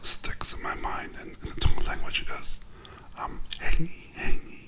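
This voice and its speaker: Whispering at a fairly slow pace, with noticeable background noise. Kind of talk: casual conversation.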